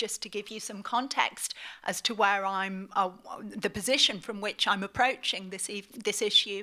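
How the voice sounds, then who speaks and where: A woman with a British accent has a bright, sharp tone at a medium pitch and fairly even intonation, in a very clean recording with a silent background. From northeast England, Middlesbrough. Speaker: academic and author. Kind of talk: lecture.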